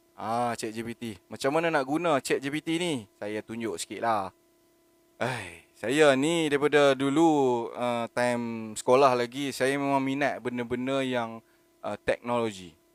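The recording is very clean, with a silent background and a dry, close sound with no echo. A man at medium pitch talks very slowly with ordinary pitch variation. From Malaysia, Penang. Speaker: online content creator. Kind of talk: solo live monologue. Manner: spontaneous, hesitant with fillers.

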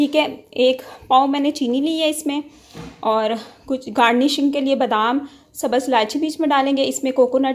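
Her pitch is high, and her intonation is fairly even. This woman talks at a fairly slow pace. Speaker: home cook vlogger. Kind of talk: casual cooking tutorial. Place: kitchen. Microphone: phone near.

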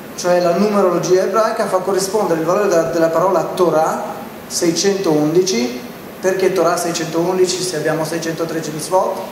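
Over noticeable background noise and audible room echo, a man talks at a fairly slow pace in a high pitch. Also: fairly even intonation. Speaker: religious lecturer. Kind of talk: lecture. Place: hall. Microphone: handheld.

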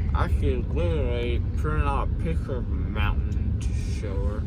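Loud background noise sits behind a man's voice. He keeps a moderate pace with ordinary pitch variation. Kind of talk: casual vlog chat. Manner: groggy, slurred, numb-mouthed speech. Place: car. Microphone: phone near.

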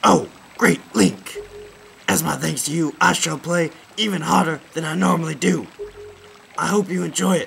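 A man in a put-on character voice, at fairly high pitch and a moderate pace, with long, frequent pauses. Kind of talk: fan voice acting of game text. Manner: apologetic, then eager.

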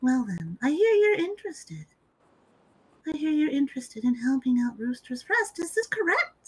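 A woman speaks at a moderate pace in a high voice. Her pitch swings very widely. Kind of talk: role-play improv, mock formal. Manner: pompous, commanding.

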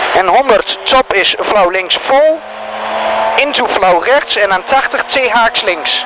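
Spoken at a very slow pace, the dry, echo-free sound carries noticeable background noise. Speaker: rally co-driver. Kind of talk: rally pace notes read aloud. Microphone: helmet.

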